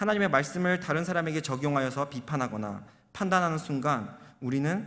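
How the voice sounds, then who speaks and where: There is audible room echo as a man speaks. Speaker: junior pastor. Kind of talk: sermon. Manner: fast.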